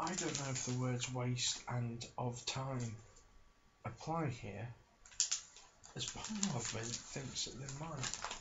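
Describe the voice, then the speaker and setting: At a very slow pace, a man speaks at a medium pitch with long, frequent pauses. Noticeable background noise can be heard. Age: 30s. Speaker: ASMR creator. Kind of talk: casual talk to camera. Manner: deadpan, wry, rambling, low-key.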